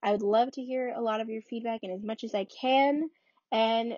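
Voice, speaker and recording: At a fairly quick pace, a woman speaks in a high pitch with ordinary pitch variation. Her accent is American. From New York (Bronx, Rockland County). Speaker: podcast host, college student. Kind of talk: casual monologue.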